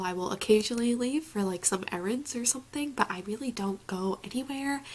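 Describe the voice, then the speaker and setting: A woman speaks over noticeable background noise. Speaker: reading vlogger. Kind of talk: casual vlog talk. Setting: at home.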